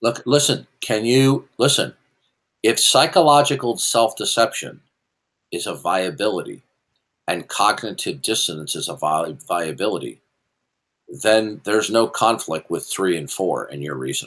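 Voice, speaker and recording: A man speaks at a moderate pace with a fairly low pitch and vocal fry, his pitch swinging very widely. The recording is very clean, with a silent background. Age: 60s. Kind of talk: heated debate. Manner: stammering, repeats syllables; interrupting, talks over opponent.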